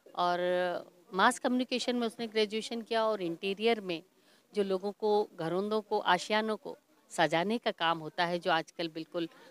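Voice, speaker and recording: The recording is dry with no echo as a woman speaks at a fairly slow pace with ordinary pitch variation. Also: long, frequent pauses. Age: 50s. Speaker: stage announcer. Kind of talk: interview. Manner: formal. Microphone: handheld.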